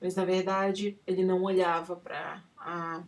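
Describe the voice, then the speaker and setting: A woman with a non-native accent, medium pitch, fairly even intonation and a very slow pace. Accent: non-native Portuguese, struggles for words. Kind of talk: personal testimony. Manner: halting, with many fillers.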